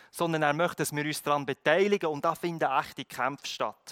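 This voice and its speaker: A man is heard in a very clean recording with a silent background, the sound dry and close with no echo. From Philippines, moved to Switzerland at 16. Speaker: pastor. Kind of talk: sermon.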